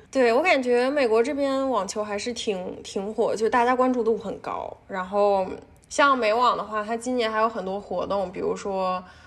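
In a plain, everyday voice, a woman talks at a moderate pace, her fairly high pitch showing ordinary variation. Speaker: PhD student and tennis fan. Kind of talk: casual chat.

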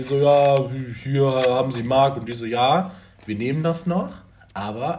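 A man's medium-pitched, somewhat breathy voice with lively intonation, a fairly slow pace and audible room echo. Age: 20s. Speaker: podcast host. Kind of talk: casual chat.

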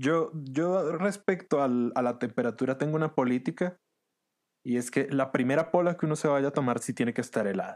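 At a moderate pace and a medium pitch, a man talks with ordinary pitch variation on a very clean recording with a silent background. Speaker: podcast host. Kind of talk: casual interview chat; scripted comedic monologue. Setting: at home during quarantine.

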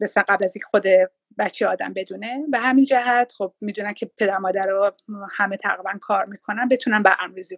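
In an ordinary speaking voice, a woman talks at a fairly quick pace with medium pitch and ordinary pitch variation, her loudness swinging widely in a dry, close sound with no echo. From Iran. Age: 50s. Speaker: businesswoman and mother. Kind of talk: interview, casual chat. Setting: live video stream.

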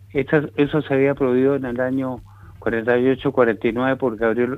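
A man speaks at a fairly slow pace. His medium-pitched voice has a monotone, flat intonation. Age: 80s+. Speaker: veteran politician, former minister. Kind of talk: radio interview.

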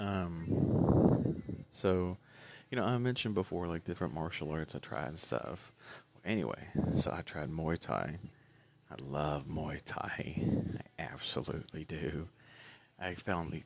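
A soft-spoken man with a very deep, low pitch, ordinary pitch variation, fairly slow pace and long, frequent pauses. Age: 30s. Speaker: vlogger sharing health recovery story. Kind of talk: personal testimony. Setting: at home, early morning. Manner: soft-spoken, talking low; halting, many fillers.

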